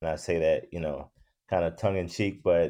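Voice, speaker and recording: Over a quiet background, a man with an American accent speaks in a dark, mellow tone. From Virginia. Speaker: school counselor. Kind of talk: casual chat.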